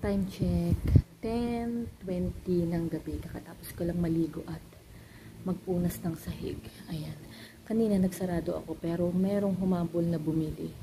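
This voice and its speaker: A woman speaks softly, with a fairly low pitch. She keeps a fairly slow pace. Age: 30s. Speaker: vlogger, mother and store owner. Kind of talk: casual vlog talk to camera. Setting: at home in the living room at night. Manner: soft-spoken, quiet.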